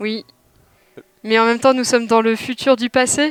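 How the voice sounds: A woman at a moderate pace uses a put-on robotic character voice, pitched fairly high.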